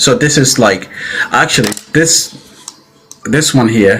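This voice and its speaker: Over noticeable background noise, a man talks at a fairly slow pace. His pitch is medium, with ordinary variation. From Italy. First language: Italian. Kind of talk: live debate. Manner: halting.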